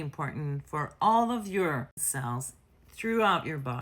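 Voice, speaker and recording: Lively intonation at a fairly slow pace, in a very clean recording with a silent background. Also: woman. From France. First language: French. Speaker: nurse health educator. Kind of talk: educational explainer. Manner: casual, conversational.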